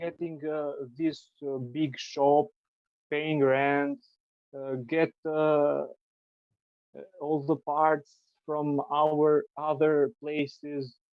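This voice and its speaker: A man with an Albanian accent talks at a very slow pace, leaving long, frequent pauses. His fairly high voice stays monotone and flat. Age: 30s. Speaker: triathlete and cyclist. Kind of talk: podcast interview answer. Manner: hesitant.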